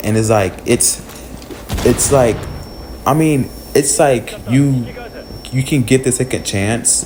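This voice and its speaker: A man's mumbling, put-on character voice at a medium pitch, with a fairly slow pace, long, frequent pauses and light background noise. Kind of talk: casual, slangy. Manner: stuttering, mumbling, flustered.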